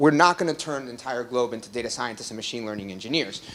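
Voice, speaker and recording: The speech moves at a very fast pace with lively intonation. Noticeable background noise sits behind it. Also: man. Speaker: startup executive giving company presentation. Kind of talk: meetup tech presentation. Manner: filler-heavy with many ums and uhs.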